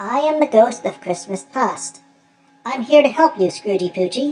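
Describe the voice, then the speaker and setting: Over faint background music, a woman puts on a character voice, fairly high in pitch and at a moderate pace. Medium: read story. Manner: gentle, patient.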